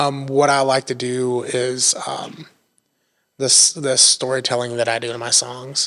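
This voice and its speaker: With an Appalachian accent, a man speaks slowly in a medium pitch, his intonation monotone and flat. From Northeast Tennessee, Appalachia (Erwin). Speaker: songwriter and musician. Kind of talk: podcast interview. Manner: casual, many fillers.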